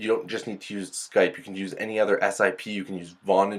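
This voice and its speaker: Talking at a fairly quick pace, a man uses a fairly low pitch. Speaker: product reviewer. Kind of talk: product review over demo video. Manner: animated.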